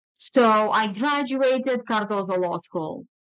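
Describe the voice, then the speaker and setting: Against a quiet background, the speaker talks at a very slow pace with lively intonation and a Romanian accent. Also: woman. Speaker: attorney and podcast host. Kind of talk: casual conversation.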